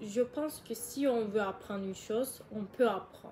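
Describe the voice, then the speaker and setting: Her high-pitched voice rises and falls with ordinary variation as the woman talks. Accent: Turkish. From Turkey. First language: Turkish (speaking French). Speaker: YouTuber. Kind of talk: casual vlog advice. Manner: halting, hesitant.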